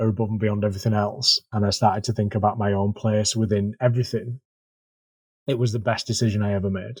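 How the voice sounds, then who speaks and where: In a very clean recording with a silent background, a man with a Yorkshire accent speaks very fast at a fairly low pitch, somewhat breathy and in monotone, flat intonation. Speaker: marine conservation volunteer coordinator. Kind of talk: casual podcast interview. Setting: podcast.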